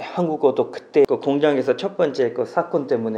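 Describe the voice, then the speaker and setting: A man talks at a fairly quick pace with a slight non-native accent. There is noticeable background noise. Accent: slight foreign accent in Korean. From Pakistan. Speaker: naturalized immigrant interviewee. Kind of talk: interview.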